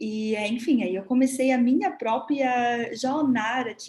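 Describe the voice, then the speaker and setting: Noticeable background noise sits behind a woman with a fairly high pitch. She speaks at a very slow pace with ordinary pitch variation. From Germany. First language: German (speaking Portuguese). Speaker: body therapist. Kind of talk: live talk. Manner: halting.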